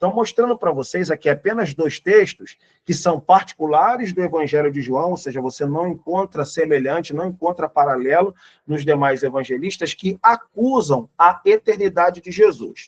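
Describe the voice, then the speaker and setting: Speaking with lively intonation at a moderate pace, a man with a high pitch sounds dry and close, with no echo. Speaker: pastor and Bible teacher. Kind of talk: Bible lesson lecture.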